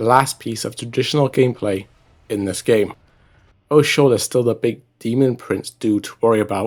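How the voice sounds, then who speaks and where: Music plays in the background as a man speaks at a moderate pace. His pitch is medium and his intonation fairly even. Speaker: gaming YouTuber. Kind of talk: gameplay commentary. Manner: halting speech from stroke.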